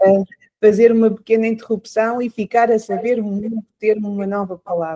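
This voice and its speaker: A woman's fairly high, dark, mellow voice at a moderate pace, monotone and flat in intonation, with a dry, close sound and no echo. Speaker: podcast host. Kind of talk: interview. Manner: hesitant, many fillers.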